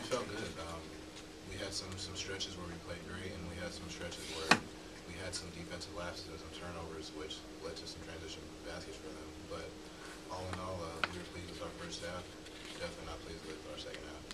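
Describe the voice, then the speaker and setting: Over loud background noise, a man speaks at a fairly quick pace. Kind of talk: interview answer. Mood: subdued after a loss. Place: meeting room. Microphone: podium.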